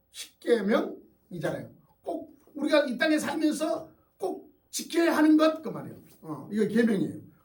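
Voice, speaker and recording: Amid audible room echo, a man with an extremely high pitch talks at a moderate pace, his loudness swinging widely. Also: lively intonation. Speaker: pastor. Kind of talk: sermon. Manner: conversational, with fillers.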